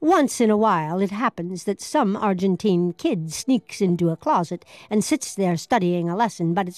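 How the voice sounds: The voice is a natural reading voice. It carries the whole passage.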